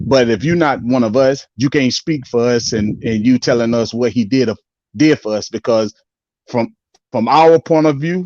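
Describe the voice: A man's medium-pitched, slightly mellow voice at a moderate pace, with ordinary pitch variation and a dry, close sound with no echo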